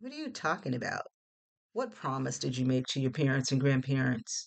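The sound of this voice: A woman's put-on character voice, extremely low with vocal fry, big pitch swings, and a moderate pace.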